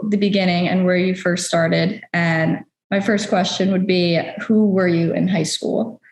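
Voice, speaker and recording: Room echo can be heard clearly. It surrounds a woman's voice. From New York. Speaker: interviewer. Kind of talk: interview.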